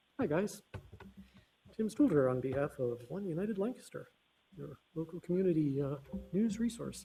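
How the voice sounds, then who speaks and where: The tone is dark and mellow, with lively intonation and mumbling. The pace is moderate, broken by long, frequent pauses. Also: man, high pitch for a man. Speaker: local news reporter. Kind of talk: public comment questions. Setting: council meeting.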